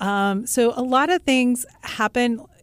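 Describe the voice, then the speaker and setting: A woman with a Midwestern American accent speaks in an animated tone with ordinary pitch variation. The sound is dry and close with no echo, on a very clean recording with a silent background. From Kansas (Russell). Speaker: real estate agent and home builder. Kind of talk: radio interview. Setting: radio studio. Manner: talks with her hands, animated.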